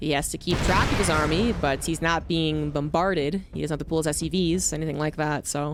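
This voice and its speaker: A fairly quick, fairly even delivery in a Mid-Atlantic American accent, with hardly any pauses and music in the background. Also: woman, very deep, low pitch for a woman. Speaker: esports caster. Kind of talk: live commentary. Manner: fast.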